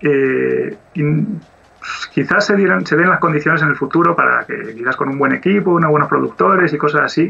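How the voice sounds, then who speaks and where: A man's fairly high voice with lively intonation at a moderate pace, hardly any pauses, and noticeable background noise. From Asturias, Spain. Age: 40s. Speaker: 2D animator. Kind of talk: interview.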